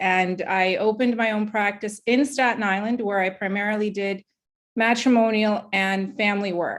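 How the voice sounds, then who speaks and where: In a very clean recording with a silent background, a woman with an ordinary speaking voice talks at a moderate pace and medium pitch with ordinary pitch variation. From Brooklyn, New York (born in former Soviet Union). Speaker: judicial candidate, court attorney. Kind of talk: candidate forum opening statement.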